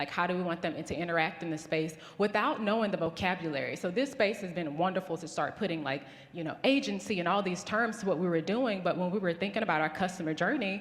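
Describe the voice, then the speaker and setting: Someone with a Southern US accent talks at a very fast pace, with audible room echo. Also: woman, medium pitch for a woman, ordinary pitch variation. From US South. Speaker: business founder. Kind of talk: conference talk.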